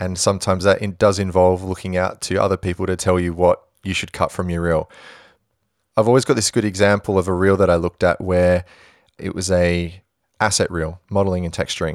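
In a very clean recording with a silent background and a dry, close sound with no echo, a man with an Australian accent speaks fairly quickly in a very deep, low pitch with monotone, flat intonation. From Western Australia, Perth. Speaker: visual effects supervisor. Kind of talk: interview.

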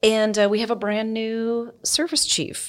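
A woman speaks with an American accent at a moderate pace. The recording is very clean, with a silent background. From United States. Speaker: military officer. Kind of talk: interview.

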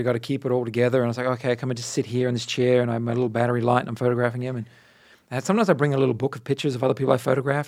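The speaker has an Australian accent and talks at a very fast pace with fairly even intonation. The recording is very clean, with a silent background. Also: man. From Australia, Adelaide and Darwin. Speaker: portrait photographer. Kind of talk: casual interview chat.

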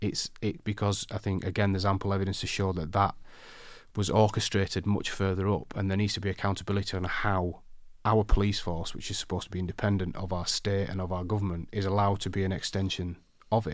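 A man with a South Yorkshire accent talks at a very fast pace in a fairly low, monotone, flat voice on a very clean recording with a silent background. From northern England, Barnsley, South Yorkshire. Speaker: designer and campaigner. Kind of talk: interview.

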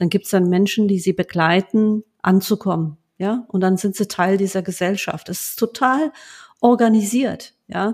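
Recorded with a dry, close sound and no echo, a woman speaks at a fairly slow pace in a medium-pitched voice with ordinary pitch variation. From Germany, Lower Rhine (Duisburg, Rheinberg). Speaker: bank executive. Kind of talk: interview conversation. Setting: home office, remote call. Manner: many hesitations (ähm).

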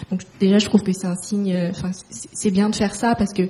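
At a moderate pace, a woman speaks at medium pitch in a normal speaking voice. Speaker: fashion school alumna, moderator. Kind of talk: interview questions.

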